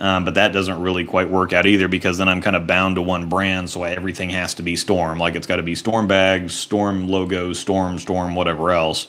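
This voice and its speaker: A man's very deep, low voice in a flat monotone, hardly any pauses, over noticeable background noise. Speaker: streamer working in a bowling pro shop. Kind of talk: casual, chatty. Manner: casual, rambling with fillers.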